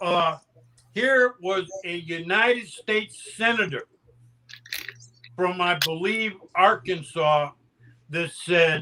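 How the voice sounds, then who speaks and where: Speaking very slowly in a raised, projected voice, a high-pitched man has a bright, sharp tone and ordinary pitch variation. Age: 70s. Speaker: panelist. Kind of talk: casual chat. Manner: animated.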